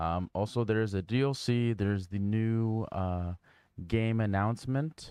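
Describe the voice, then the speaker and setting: Here a man speaks at a fairly low pitch with fairly even intonation. The sound is dry and close, with no echo and a quiet background. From Canada. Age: 30s. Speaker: game streamer. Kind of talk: live gaming stream chat. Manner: casual, halting with fillers.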